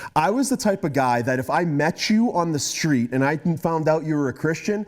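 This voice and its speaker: This man's voice sits at a fairly high pitch and has an animated tone. He moves at a moderate pace with lively intonation. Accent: Boston. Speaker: guest speaker. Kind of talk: testimony. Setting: talk to students.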